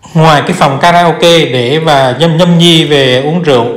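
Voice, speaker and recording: Against a quiet background with audible room echo, a man talks at a moderate pace with fairly even intonation. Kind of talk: property tour commentary. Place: home room. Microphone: phone near.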